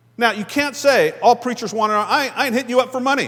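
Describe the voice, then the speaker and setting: An animated, raised and projected male voice at an extremely high pitch, with a bright, sharp tone, ordinary pitch variation and a very fast pace. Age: 60s. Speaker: guest pastor. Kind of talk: sermon. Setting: church.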